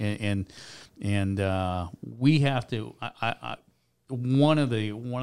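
Recorded very cleanly against a silent background, a man with an American accent speaks at a fairly low pitch with ordinary pitch variation. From US Midwest (Michigan and Chicago). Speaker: sports team executive. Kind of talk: interview. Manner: halting, frequent repetitions.

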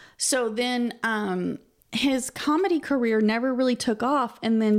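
This woman has an unremarkable speaking voice, fairly high in pitch, at a fairly slow pace. The recording is very clean, with a silent background. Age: 40s. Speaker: podcast co-host. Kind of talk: casual chat; trivia quiz reading.

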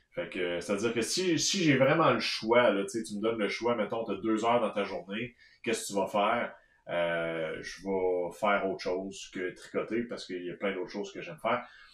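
A man with a Quebec accent speaks at a moderate pace, his fairly low pitch showing ordinary variation. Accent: Québécois French. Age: 30s. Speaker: knitting podcast co-host. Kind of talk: casual chat. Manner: halting.

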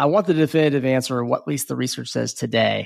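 With no echo at all, the recording of a very fast-talking man sounds dry and close. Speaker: podcast host. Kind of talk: interview.

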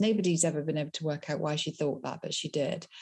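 A woman's somewhat breathy, dark and mellow voice with ordinary pitch variation, on a very clean recording with a silent background. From West Country, England. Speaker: travel writer and biographer. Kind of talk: interview.

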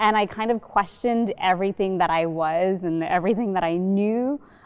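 Against a quiet background, a woman with a normal speaking voice talks at a medium pitch and a moderate pace. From Sri Lanka, raised in US South. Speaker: startup incubator director, panelist. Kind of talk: panel discussion. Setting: library reading room, filmed.

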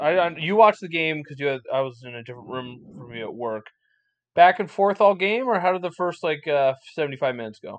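A man talks at a fairly quick pace with lively intonation and big swings in loudness. Long, frequent pauses break up his speech. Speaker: podcast host. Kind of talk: casual chat.

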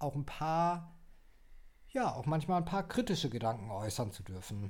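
Over a silent background in a very clean recording, a man with a somewhat breathy, dark and mellow tone and a fairly high pitch talks at a moderate pace, his pitch swinging very widely. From Baden-Württemberg, Germany (Heidelberg). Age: 20s. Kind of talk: casual chat. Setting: small home desk studio.

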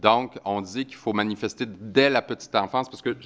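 At a fairly quick pace, a man with a Quebec accent speaks in a fairly low pitch with fairly even intonation. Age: 50s. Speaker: author and anti-bullying advocate. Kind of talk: conference talk.

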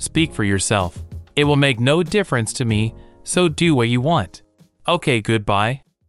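Someone performs a put-on character voice at a moderate pace. Faint music plays in the background. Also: man, medium pitch for a man. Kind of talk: robotic comedy. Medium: audio drama.

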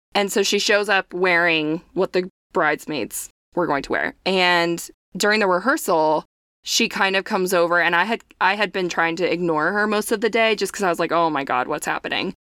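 A woman with an unremarkable speaking voice talks at a moderate pace and medium pitch with ordinary pitch variation, in a very clean recording with a silent background. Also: very even loudness, dry, close sound with no echo. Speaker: podcast co-host. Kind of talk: casual chat.

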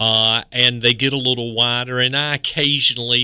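Talking in an eastern North Carolina accent, a man keeps a medium pitch and a moderate pace with monotone, flat intonation. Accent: Southern, eastern North Carolina. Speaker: horticultural specialist. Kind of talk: radio call-in advice.

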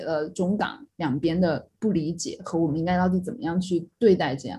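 A woman speaks at a moderate pace and medium pitch. Her voice is somewhat breathy, with a dark, mellow tone. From Sichuan, China (Yibin; schooled in Chongqing). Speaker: podcast co-host. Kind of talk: casual chat.

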